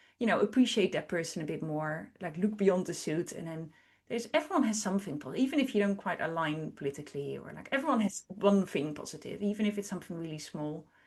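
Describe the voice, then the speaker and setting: A woman with a non-native accent speaks at medium pitch at a very fast pace, with hardly any pauses. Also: lively intonation. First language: not English. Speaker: artist and educator. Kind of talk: interview.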